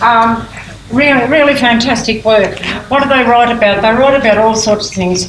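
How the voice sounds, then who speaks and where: Amid noticeable background noise and audible room echo, a woman with an Australian accent speaks at a moderate pace and fairly high pitch, her loudness very even and her intonation fairly even. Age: 80s+. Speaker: prison creative writing program leader. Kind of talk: conference talk. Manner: halting.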